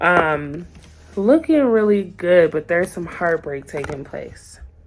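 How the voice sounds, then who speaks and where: Amid noticeable background noise, a woman speaks at a fairly slow pace in a fairly low, calm voice with ordinary pitch variation. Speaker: tarot reader. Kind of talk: tarot reading monologue. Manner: gets loud when excited; starts calm and low.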